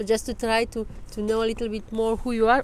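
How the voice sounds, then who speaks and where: A woman talks at a fairly quick pace with a non-native accent. Her pitch is fairly high. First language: not English. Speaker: interviewer. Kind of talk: interview. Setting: outdoors.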